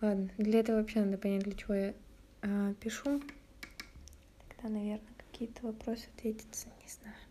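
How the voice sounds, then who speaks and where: A woman speaks with a dark, mellow tone and a somewhat breathy, fairly high voice. Her intonation is monotone and flat, with long, frequent pauses. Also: fairly quick pace. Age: 20s. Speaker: podcaster. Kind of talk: casual solo chat. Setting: at home. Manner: hesitant, with many fillers.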